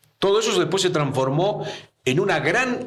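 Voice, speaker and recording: There is audible room echo as a man speaks with very wide pitch swings. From Argentina. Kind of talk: interview. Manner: halting.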